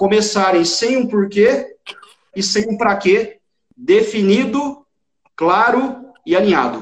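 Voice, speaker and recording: This man's voice is pitched high. The rise and fall of his pitch is ordinary. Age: 30s. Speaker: entrepreneur. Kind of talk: casual interview.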